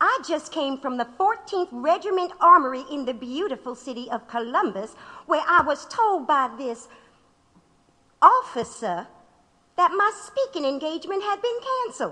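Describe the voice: Using a put-on character voice, a woman speaks high and bright with a sharp tone. Her pitch swings widely. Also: moderate pace.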